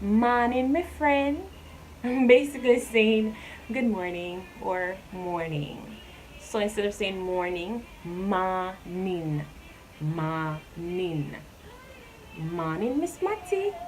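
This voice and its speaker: Speaking in a Jamaican accent, a woman uses a medium pitch and lively intonation. Her pace is very slow, broken by long, frequent pauses. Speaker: YouTuber. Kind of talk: casual talk to camera.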